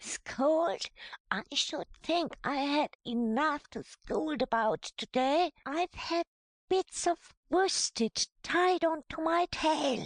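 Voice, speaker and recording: A put-on character voice sits at a high pitch. It moves at a very slow pace. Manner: excited, indignant.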